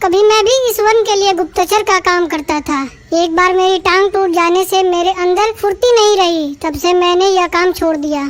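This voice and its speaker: An extremely high-pitched cartoonish character voice moves at a moderate pace. There are hardly any pauses. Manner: helpful, eager.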